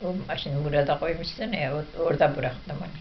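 A woman with an Ahiska accent speaks at a moderate pace with ordinary pitch variation over light background noise. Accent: Ahiska Turkish dialect. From northeastern Turkey. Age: old. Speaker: videomaker's mother. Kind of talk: casual family chat. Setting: at home. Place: home room. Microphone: camera far.

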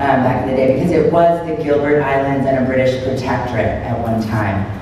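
There is noticeable background noise and strong room echo around this woman's voice. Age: 30s. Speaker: former Peace Corps volunteer and career coach. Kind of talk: presentation talk. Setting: event with audience and microphone. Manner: hesitant with many fillers. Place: hall. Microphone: camera far.

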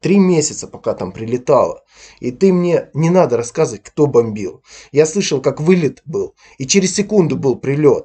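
Lively intonation over a dark, mellow tone. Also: man, fairly high pitch for a man, moderate pace. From Ukraine, Donbas. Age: 30s. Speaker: YouTube blogger. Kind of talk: angry video commentary rant. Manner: aggressive.

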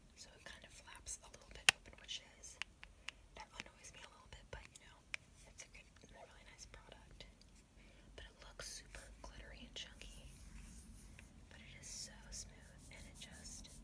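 Over loud background noise, a soft-spoken woman whispers at a moderate pace with long, frequent pauses. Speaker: beauty vlogger. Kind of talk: casual product review chat. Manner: soft ASMR whisper. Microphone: phone near.

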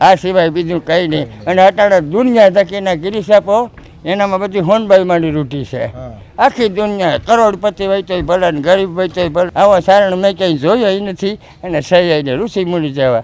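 A man speaks high in his range, and his pitch rises and falls in an ordinary way. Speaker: village elder devotee. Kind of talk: storytelling interview.

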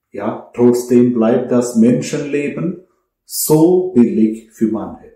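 This man's voice has a dark, mellow tone and lively intonation at a very slow pace. Room echo is audible. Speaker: priest. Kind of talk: sermon, earnest and measured homily to a congregation. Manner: earnest; rhetorical, direct address with pauses. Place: home room.

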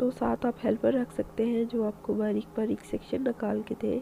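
A woman's fairly high voice with a dark, mellow tone, vocal fry and little pitch movement. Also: moderate pace.

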